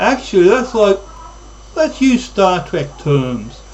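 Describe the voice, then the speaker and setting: A man speaks with lively intonation amid noticeable background noise. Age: 60s. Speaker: YouTube vlogger. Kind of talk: monologue.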